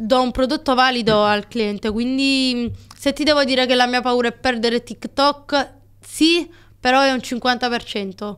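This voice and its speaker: Over a quiet background, a woman speaks in a high pitch. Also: fairly slow pace. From Naples, Italy; Italy. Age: 20s. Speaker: TikTok creator and shop owner; TikTok creator. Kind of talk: casual podcast interview. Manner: animated. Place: studio. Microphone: studio mic.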